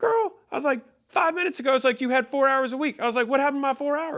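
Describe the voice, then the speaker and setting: Someone does a put-on character voice, high in pitch and at a very fast pace. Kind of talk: casual slangy talk. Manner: playful, humorous, light tone used to defuse a hard talk.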